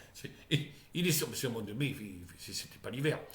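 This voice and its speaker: With audible room echo, a man speaks at a moderate pace in a fairly high pitch, somewhat breathy, with lively intonation. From Charente, southwestern France. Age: 60s. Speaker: vlogger. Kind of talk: casual monologue vlog. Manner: halting, with many repetitions.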